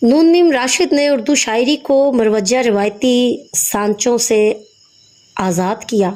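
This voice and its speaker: Lively intonation carries this woman's high pitch. Her loudness stays very even. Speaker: Urdu lecturer. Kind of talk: lecture introduction.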